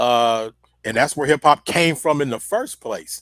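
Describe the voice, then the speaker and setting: A man with an American accent talks fairly quickly with ordinary pitch variation, recorded in dry, close sound with no echo. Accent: sounds country to New Yorkers. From US, outside the East Coast. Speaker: rap pioneer and activist. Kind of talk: casual interview chat. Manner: halting, many repeated words.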